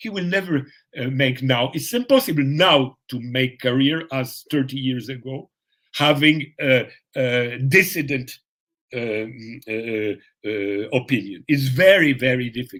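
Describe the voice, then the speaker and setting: Here a man talks at a fairly slow pace. His pitch is medium, with ordinary variation. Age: 60s. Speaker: professor. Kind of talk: interview. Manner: halting, many fillers.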